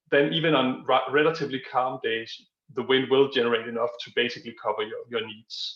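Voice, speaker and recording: Here is a man with a Danish accent. He speaks at a fairly quick pace. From Denmark. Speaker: energy industry expert. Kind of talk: Q&A answer at online conference. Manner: hesitant, many fillers.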